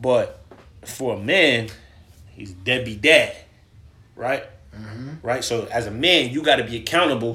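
With long, frequent pauses and big swings in loudness, a man talks at a fairly slow pace in a medium pitch with ordinary pitch variation over noticeable background noise. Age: 20s. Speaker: podcast guest. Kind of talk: casual chat.

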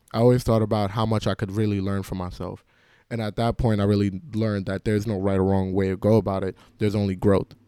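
A man in a New York accent, fairly low-pitched and dark, mellow in tone, monotone, flat intonation at a very fast pace, in a very clean recording with a silent background. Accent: New York City English. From New York City (Queens), Jamaican immigrant family. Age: 20s. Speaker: college student. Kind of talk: personal storytelling monologue. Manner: casual, with filler words and repetitions.

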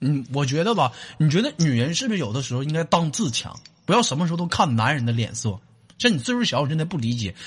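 A man's fairly high, somewhat breathy voice at a very fast pace, with very wide pitch swings. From Northeast China. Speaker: comedy call-in show host. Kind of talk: casual joking chat with callers. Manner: animated, laughing.

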